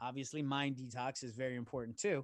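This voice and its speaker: Talking at a fairly quick pace, a man with a normal speaking voice and a fairly high pitch is heard in a dry, close sound with no echo and a quiet background. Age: 40s. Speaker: author and businessman. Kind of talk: casual chat.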